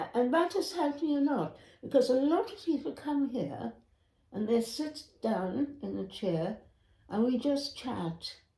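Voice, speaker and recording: A woman speaks at a fairly slow pace with a high pitch. Her pitch swings very widely. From Grenada. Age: 80s+. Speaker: retired nurse. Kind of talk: interview answer. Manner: slow, reflective.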